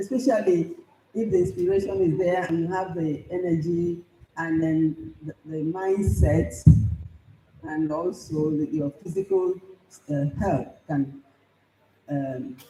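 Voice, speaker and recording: Music plays in the background as the speaker goes at a fairly slow pace. There are long, frequent pauses and ordinary pitch variation. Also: woman, fairly low pitch for a woman. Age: 70s. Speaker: professor and writer. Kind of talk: conference speech.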